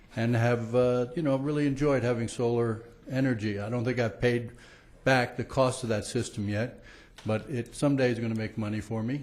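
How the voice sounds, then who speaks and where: A man speaks at a fairly quick pace with fairly even intonation and a medium pitch, and audible room echo can be heard. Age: 60s. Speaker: public commenter at city council meeting. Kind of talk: public comment speech. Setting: council chambers with audience. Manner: hesitant, many fillers.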